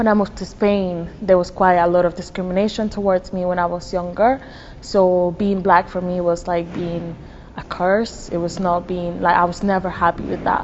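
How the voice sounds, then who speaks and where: A woman's fairly low, monotone, flat delivery with a Spanish accent, amid noticeable background noise. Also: moderate pace. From Dominican Republic. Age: 20s. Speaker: university student. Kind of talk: interview.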